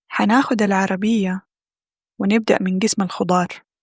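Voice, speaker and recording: Somewhat breathy, a woman with a Hijazi accent speaks at a medium pitch and a fairly slow pace with fairly even intonation. The sound is dry and close, with no echo. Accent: Hijazi Saudi dialect. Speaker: Arabic language teacher. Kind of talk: language-learning vlog narration.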